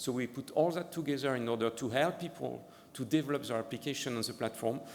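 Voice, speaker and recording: A man at a medium pitch and a fairly quick pace, with ordinary pitch variation and audible room echo. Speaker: ocean data program director giving a demo. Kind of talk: conference presentation with live demo. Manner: fast; halting, many fillers and repeats.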